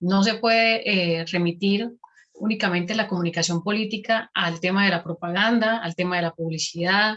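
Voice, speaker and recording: A woman with a normal speaking voice talks at a moderate pace and medium pitch, her intonation fairly even. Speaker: academic researcher, presenter. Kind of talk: conference presentation.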